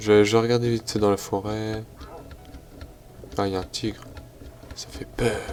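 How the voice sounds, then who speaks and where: A man speaks at a moderate pace in a fairly low, monotone, flat voice, with big swings in loudness. Long, frequent pauses break up his speech amid noticeable background noise. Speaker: gaming youtuber. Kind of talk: let's play commentary. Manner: stumbling, hesitant.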